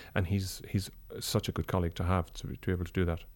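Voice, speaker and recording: A very fast pace of speech, with a very clean recording and a silent background. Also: man. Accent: Irish. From Ireland. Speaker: opera and song tenor. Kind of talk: interview.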